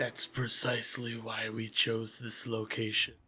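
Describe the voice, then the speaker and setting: In a raspy, put-on character voice, a man speaks at medium pitch and a moderate pace. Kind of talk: game master villain voice. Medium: actual play. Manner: curt, cold and dismissive.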